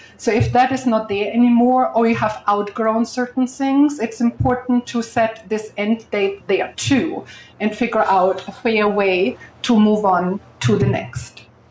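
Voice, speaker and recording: Against noticeable background noise, a woman speaks fairly slowly in a fairly high pitch, with ordinary pitch variation and very even loudness. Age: 60s. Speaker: real estate investor and speaker. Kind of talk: panel talk at live event.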